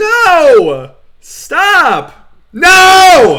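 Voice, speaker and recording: A shrill, put-on character voice at an extremely high pitch. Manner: panicked, protesting.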